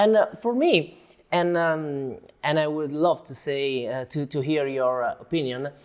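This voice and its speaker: A man with an Italian accent at a fairly slow pace, fairly high-pitched, with lively intonation, in a very clean recording with a silent background. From Italy. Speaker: interviewer. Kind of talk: interview. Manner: halting.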